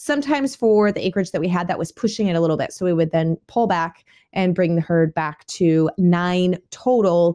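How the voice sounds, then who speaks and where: At a moderate pace, a woman speaks in a fairly low voice with a dark, mellow tone. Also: quiet background. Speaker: homestead podcast host. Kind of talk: podcast monologue. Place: home room. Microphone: studio mic.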